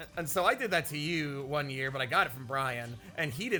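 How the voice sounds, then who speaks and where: Amid noticeable background noise, the speech races at a very fast pace with an animated tone and lively intonation. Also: man. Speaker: gaming YouTuber. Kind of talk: casual chat. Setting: playing a video game while recording.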